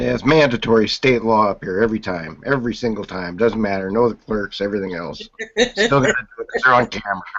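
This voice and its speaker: A man with a fairly low pitch, ordinary pitch variation and a very fast pace. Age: 50s. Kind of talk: casual chat.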